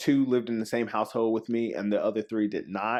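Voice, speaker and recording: In a South Carolina accent, a man speaks at medium pitch. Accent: Southern US (South Carolina). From South Carolina, Spartanburg. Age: 20s. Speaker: church member. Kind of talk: casual interview. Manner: halting, many fillers.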